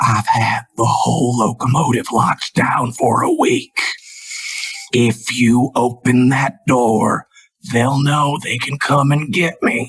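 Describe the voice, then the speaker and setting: A man whispers and growls in a put-on character voice. He speaks at a fairly slow pace. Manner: whispering.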